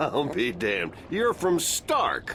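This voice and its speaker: A gruff, put-on character voice comes through. Clear background noise sits behind it. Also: man. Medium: video game. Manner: gruff, swearing, laughing.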